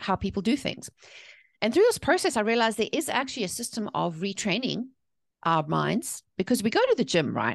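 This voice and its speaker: Fairly high and quick, a woman's voice carries a South African accent with very wide pitch swings and vocal fry. The background is quiet. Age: 40s. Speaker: author and mindset coach. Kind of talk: podcast interview.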